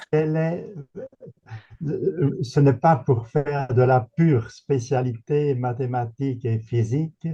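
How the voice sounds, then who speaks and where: Somewhat breathy and dark, mellow in tone, a man speaks at a very slow pace in a fairly high pitch. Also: ordinary pitch variation. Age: 80s+. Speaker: retired philosophy professor. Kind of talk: Q&A question at a seminar. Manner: halting.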